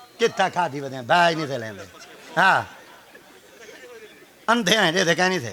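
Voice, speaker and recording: Over noticeable background noise, a man with a high voice speaks with lively intonation and big swings in loudness. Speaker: religious preacher (peer). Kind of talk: humorous religious sermon (bayan) to an audience. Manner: humorous, storytelling.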